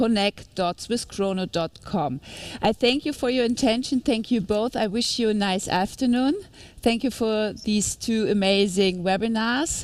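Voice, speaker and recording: Speaking at a fairly slow pace in a German accent, a woman uses a fairly high pitch with ordinary pitch variation. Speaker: webinar host. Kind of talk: webinar moderation. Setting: live studio.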